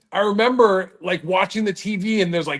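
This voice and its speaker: Someone with a Californian accent talks at a fairly quick pace against a quiet background. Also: man. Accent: Californian American. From Southern California. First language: Dutch. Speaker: reptile show promoter. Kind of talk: casual chat.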